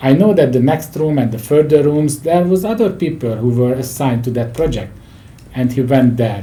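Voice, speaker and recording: A man's fairly high, somewhat breathy voice with a dark, mellow tone, ordinary pitch variation, and audible room echo. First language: not English. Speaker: leadership and project management expert. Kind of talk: interview conversation.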